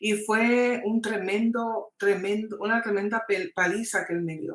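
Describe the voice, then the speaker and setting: A woman speaks in a plain, everyday voice. Her pace is fairly slow, and her pitch varies in an ordinary way. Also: fairly high pitch for a woman. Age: 60s. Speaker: testimony guest. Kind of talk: testimony.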